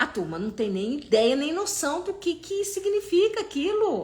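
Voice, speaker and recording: A woman's animated voice at a fairly slow pace, with very wide pitch swings. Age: 60s. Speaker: holistic therapist. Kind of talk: live stream talk. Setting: live stream.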